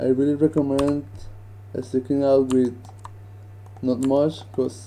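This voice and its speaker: With a non-native accent, the man delivers his words at a fairly slow pace. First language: not English. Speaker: 3D animation rigger; 3D rigging instructor. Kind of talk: tutorial. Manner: casual, hesitant.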